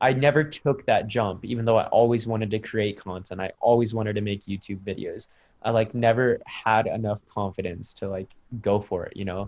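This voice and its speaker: A man speaks at a fairly quick pace with a General American accent, an unremarkable speaking voice, fairly low pitch and fairly even intonation. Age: 20s. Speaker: content creator. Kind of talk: interview. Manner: casual, many fillers.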